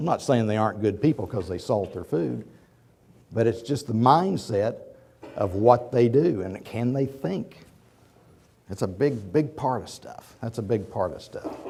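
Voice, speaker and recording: With an American accent, a man speaks in a somewhat breathy voice with lively intonation. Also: medium pitch for a man, big swings in loudness. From Oklahoma. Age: 50s. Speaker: business executive. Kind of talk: lecture. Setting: auditorium with audience. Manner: halting.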